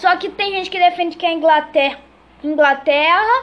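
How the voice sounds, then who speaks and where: A woman speaks at an extremely high pitch with ordinary pitch variation. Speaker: podcast host. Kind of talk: casual chat.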